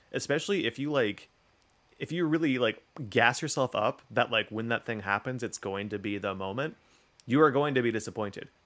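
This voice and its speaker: A man talks at a fairly quick pace with medium pitch and ordinary pitch variation. He has an unremarkable speaking voice. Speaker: podcast host. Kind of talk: casual chat. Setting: remote recording.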